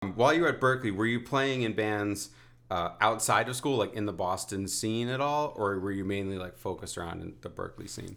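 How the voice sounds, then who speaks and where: Here is a man with an ordinary speaking voice and an American accent, pitched fairly low. He speaks at a fairly quick pace with ordinary pitch variation. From New Haven, Connecticut, US. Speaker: podcast host. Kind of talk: interview. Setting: at the guest's home.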